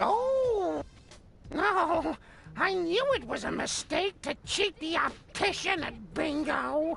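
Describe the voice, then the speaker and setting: Over clear music in the background, a woman in a put-on character voice speaks at a very slow pace, extremely high in pitch, with lively intonation. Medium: video game. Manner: chatty, cooing, laughing.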